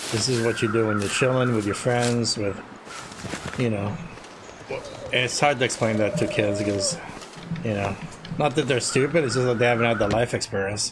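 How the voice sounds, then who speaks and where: Long, frequent pauses run through a man's speech. Noticeable background noise is present. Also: medium pitch for a man, ordinary pitch variation, moderate pace. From Latin America. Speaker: video game streamer. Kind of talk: live gameplay commentary. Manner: casual, halting with restarts.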